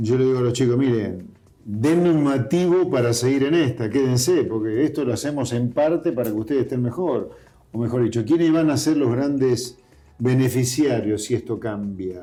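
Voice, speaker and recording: Music plays in the background. A man talks at a moderate pace in a medium-pitched voice with ordinary pitch variation. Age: 60s. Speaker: politician. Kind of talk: interview.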